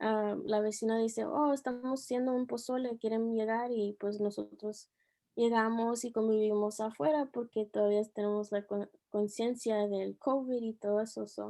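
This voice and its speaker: A woman speaks with a fairly high pitch and a dark, mellow tone, her intonation fairly even. She talks at a fairly slow pace over a quiet background. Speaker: teacher. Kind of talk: interview. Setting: video call. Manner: soft-spoken; halting.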